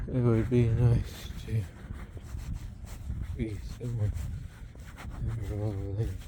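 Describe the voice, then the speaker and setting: A whisper at a fairly slow pace, broken by long, frequent pauses, over noticeable background noise. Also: man. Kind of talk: casual talk to camera while walking. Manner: whispered.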